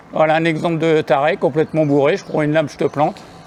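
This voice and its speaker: A man talks very fast in a fairly high pitch. Noticeable background noise runs under his voice. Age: 60s. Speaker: cycling vlogger. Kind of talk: casual vlog narration. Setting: outdoors on a bike. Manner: halting.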